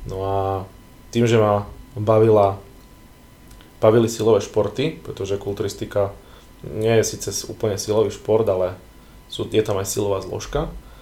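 Dark and mellow, a man's fairly low voice moves at a moderate pace with fairly even intonation and long, frequent pauses. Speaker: physician and bodybuilding photographer. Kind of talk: casual chat.

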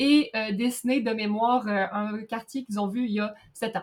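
A woman is speaking. Her pace is fairly slow. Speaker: podcast co-host. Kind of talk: casual chat.

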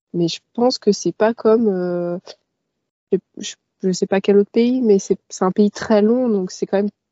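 Speaking at a very slow pace, a woman keeps her medium-pitched voice to a fairly even intonation. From Paris suburbs, Val d'Oise, France. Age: 20s. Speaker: van traveller. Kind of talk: casual interview.

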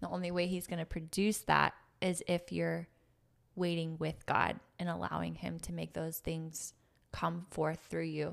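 A woman speaks at a fairly slow pace. The recording is very clean, with a silent background. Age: 30s. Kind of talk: faith-based casual conversation.

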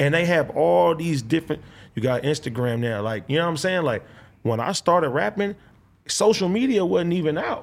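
A man with an American accent, fairly high pitch and very wide pitch swings at a moderate pace, on a very clean recording with a silent background. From Compton, Los Angeles. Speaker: rapper. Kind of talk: casual interview.

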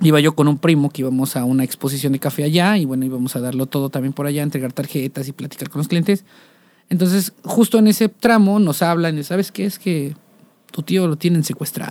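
A man with a fairly high pitch speaks at a fairly quick pace with ordinary pitch variation. The sound is dry and close with no echo, on a very clean recording with a silent background. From Mexico, Coatepec, Veracruz. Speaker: musician. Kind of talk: casual interview chat.

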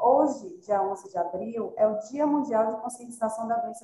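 In a plain, everyday voice, a woman speaks at a moderate pace, fairly high-pitched with lively intonation. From Salvador, Bahia, Brazil. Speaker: physiotherapist. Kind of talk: online panel discussion. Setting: video call.

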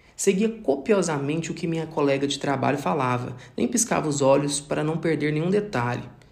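In audible room echo, a man with a fairly high pitch and lively intonation talks at a fairly quick pace with hardly any pauses. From Brazil, Minas Gerais (Triângulo Mineiro). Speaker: pharmacist. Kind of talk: scripted narration. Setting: home recording.

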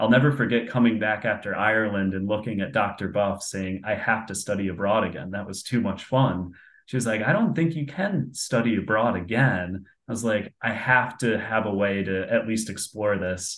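A plain, everyday voice, medium speed, normal ups and downs in pitch. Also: man, fairly low pitch for a man. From upstate New York, Binghamton. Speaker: career coach and sales manager. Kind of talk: interview.

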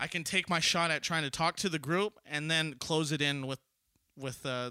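Bright, sharp, fairly high voice of a man with an American accent at a moderate pace, dry and close with no echo, in a very clean recording over a silent background. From Southern California. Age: 20s. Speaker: podcast host. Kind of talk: casual chat.

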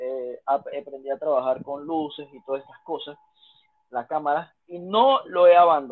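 In an ordinary speaking voice, a man talks at a fairly slow pace and fairly high pitch, with ordinary pitch variation and big swings in loudness. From Panama. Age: 20s. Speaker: fitness instructor. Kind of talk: casual interview.

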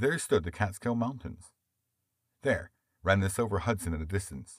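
This man has a very deep, low pitch and a somewhat breathy voice with lively intonation. He talks at a moderate pace on a very clean recording with a silent background. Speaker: audiobook narrator. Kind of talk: literary audiobook narration. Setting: studio. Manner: smooth, measured storytelling pace; expressive, shifting tone for dialogue.

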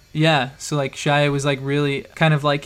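A man with an American accent, fairly high in pitch, at a moderate pace. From Idaho. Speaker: podcast host. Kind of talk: casual chat.

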